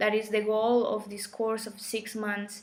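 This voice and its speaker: Through audible room echo and noticeable background noise, a woman speaks at a moderate pace and medium pitch with monotone, flat intonation. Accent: Colombian. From Colombia. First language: Spanish. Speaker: spiritual teacher. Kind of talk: live stream talk. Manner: halting.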